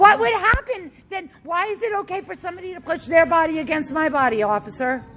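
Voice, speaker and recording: An extremely high-pitched woman at a fairly quick pace, with very wide pitch swings and big swings in loudness, over noticeable background noise. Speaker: member of the public filming a police encounter. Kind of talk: heated argument with police. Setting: outdoors outside a bar. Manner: agitated, confrontational.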